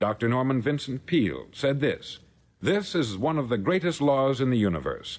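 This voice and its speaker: An ordinary speaking voice in an American accent, at a moderate pace with lively intonation and very even loudness. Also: man, medium pitch for a man. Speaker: radio speaker and author. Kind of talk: motivational lecture. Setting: old 1950s record.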